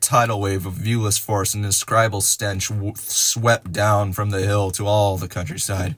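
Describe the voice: Plain reading aloud, the intonation fairly even throughout.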